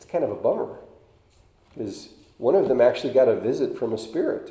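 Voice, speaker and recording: A man speaks at a fairly quick pace, with audible room echo around him. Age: 50s. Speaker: lay preacher. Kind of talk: sermon. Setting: church. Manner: halting.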